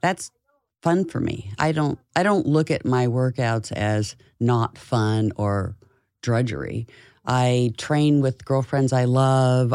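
In a very clean recording with a silent background, a woman talks very slowly in a very deep, low voice with a dark, mellow tone. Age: 60s. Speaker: fitness author. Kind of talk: casual interview.

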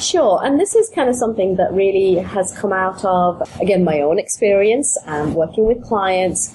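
Over noticeable background noise, a woman with a British accent speaks at a moderate pace in a medium-pitched voice with ordinary pitch variation. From UK. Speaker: business coach. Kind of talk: interview, business podcast.

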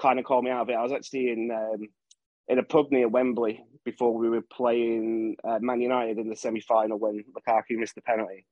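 A plain, everyday voice from a man at medium pitch and a fairly quick pace. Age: 30s. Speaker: Everton fan podcast guest. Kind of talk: casual chat.

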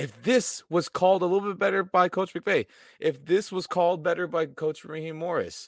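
A man with an American accent speaks at a high pitch and a moderate pace. The recording is very clean, with a silent background. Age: 20s. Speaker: football fan pundit. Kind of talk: casual chat. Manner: animated.

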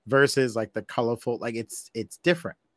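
With an ordinary speaking voice at medium pitch, a man speaks at a fairly quick pace in a very clean recording with a silent background and a dry, close sound with no echo. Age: 40s. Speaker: podcast host, wrestling fan guest. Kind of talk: casual chat.

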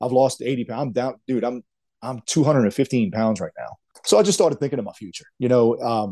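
Speaking at a fairly quick pace, a man has a dark, mellow tone and a medium pitch.

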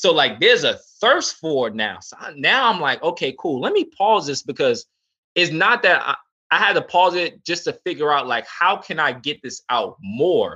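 A speaker with a New York accent has a bright, sharp tone and very wide pitch swings. The pace is moderate, against a quiet background. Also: man, high pitch for a man. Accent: New York (Bronx) English. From New York City, South Bronx. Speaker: options trader and teacher. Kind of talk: casual chat.

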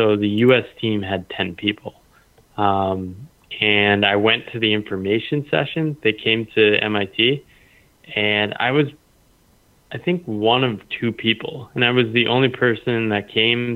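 A plain, everyday voice from a man, medium in pitch and fairly slow in pace. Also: ordinary pitch variation. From US. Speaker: former strategy consultant, freelancer. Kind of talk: interview.

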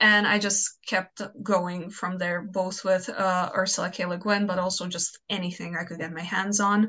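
With a Croatian accent, a woman speaks at a moderate pace and medium pitch in a flat monotone, barely pausing at all. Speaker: fanfiction author. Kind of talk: casual interview chat.

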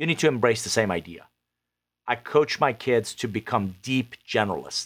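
A man speaks in an unremarkable speaking voice at medium pitch and a fairly quick pace, on a very clean recording with a silent background. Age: 50s. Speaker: author and business consultant. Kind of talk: interview.

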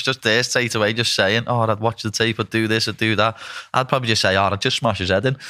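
A man with a northern English accent talks at a fairly quick pace in a fairly low pitch. His tone is bright and sharp, his intonation fairly even. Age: 20s. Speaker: podcast host and fighter. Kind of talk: casual interview.

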